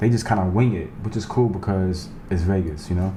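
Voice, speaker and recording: With a New York accent, a man speaks at a moderate pace in a fairly low pitch, with audible room echo and noticeable background noise. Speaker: YouTuber, Las Vegas guide. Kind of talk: casual vlog narration. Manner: not always clearly enunciated.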